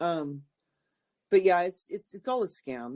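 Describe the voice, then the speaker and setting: A woman speaks with a very deep, low pitch. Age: 60s. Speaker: call participant. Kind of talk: casual group call discussion. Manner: hesitant, repeating words.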